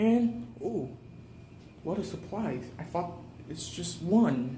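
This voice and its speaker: A man whispering at a very slow pace, with big swings in loudness, audible room echo and noticeable background noise. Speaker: fire alarm enthusiast vlogger. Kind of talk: walking video tour. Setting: indoors, hotel hallways. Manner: casual, spontaneous; whispering in hallways.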